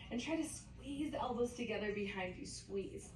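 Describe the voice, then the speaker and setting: Over background music and audible room echo, a woman speaks at a moderate pace with ordinary pitch variation. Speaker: fitness coach. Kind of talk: workout instruction. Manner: energetic, encouraging.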